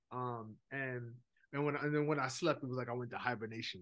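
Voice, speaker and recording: Fairly quick speech from a man, medium in pitch, with ordinary pitch variation. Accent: New York. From New York (Brooklyn), Jamaican heritage. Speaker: minister and seminary director. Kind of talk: casual interview chat.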